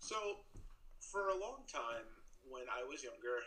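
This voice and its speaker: A man with an American accent keeps a moderate pace while noticeable background noise carries on. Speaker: postdoctoral researcher. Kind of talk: storytelling.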